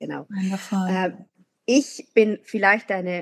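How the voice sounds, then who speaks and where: A woman talks at a fairly slow pace. The sound is dry and close, with no echo. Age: 40s. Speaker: teacher. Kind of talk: casual chat.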